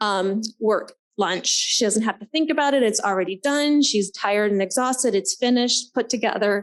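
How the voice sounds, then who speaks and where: Here is a woman with a normal speaking voice and a fairly high pitch. She keeps a moderate pace with ordinary pitch variation. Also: quiet background. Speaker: nurse practitioner. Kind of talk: presentation. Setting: conference forum.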